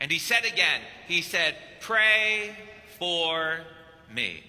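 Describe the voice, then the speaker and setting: A man talks in a raised, projected voice at a very slow pace. Noticeable background noise runs underneath. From Kentucky. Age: 50s. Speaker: priest. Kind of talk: sermon.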